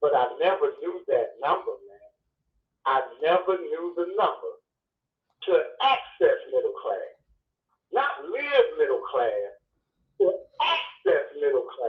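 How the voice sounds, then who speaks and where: This man has an American accent and speaks at a fairly slow pace with long, frequent pauses. His loudness swings widely. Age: 60s. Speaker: truck driver. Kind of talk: casual chat.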